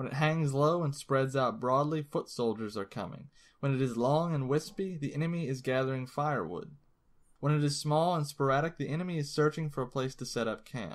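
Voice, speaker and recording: Speaking in a normal speaking voice, a man with a fairly high pitch talks at a fairly quick pace with ordinary pitch variation, on a very clean recording with a silent background. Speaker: audiobook narrator. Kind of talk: audiobook reading of a classic text, read aloud. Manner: measured, steady, formal.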